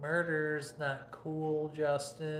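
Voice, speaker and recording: A man with an American accent talks very slowly. There is audible room echo and noticeable background noise. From Michigan, US Midwest. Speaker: livestream cooking host. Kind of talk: casual livestream chat.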